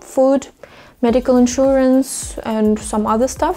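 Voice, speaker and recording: Over noticeable background noise, a woman with a Russian accent speaks fairly slowly at a high pitch with fairly even intonation. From Russia, Moscow region. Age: 20s. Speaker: vlogger. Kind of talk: vlog talking to camera.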